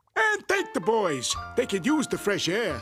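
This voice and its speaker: Over faint background music, a cartoonish character voice with a fairly high pitch moves at a moderate pace. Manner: smug, oily.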